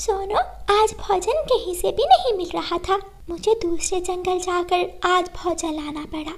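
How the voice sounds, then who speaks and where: A cartoonish character voice moves at a fairly slow pace. Light background noise sits behind it. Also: woman, extremely high pitch for a woman. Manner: gentle, protective.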